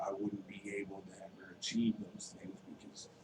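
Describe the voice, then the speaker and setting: A man talks fairly slowly in an American accent, with noticeable background noise around him. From Wisconsin. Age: 30s. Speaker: recovering addict sharing testimony. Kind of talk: testimony. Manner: hesitant, many fillers.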